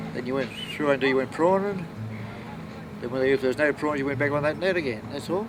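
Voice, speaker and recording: With a strong Australian accent, a man speaks at a very fast pace and a fairly high pitch, with ordinary pitch variation, long, frequent pauses and noticeable background noise. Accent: broad Australian. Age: 70s. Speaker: fisherman. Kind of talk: interview testimony.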